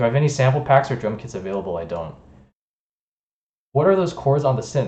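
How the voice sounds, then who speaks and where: With audible room echo, a man talks at a very fast pace, his dark, mellow tone showing vocal fry and very wide pitch swings. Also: medium pitch for a man. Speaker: music producer streamer. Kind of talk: live stream chat. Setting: live stream.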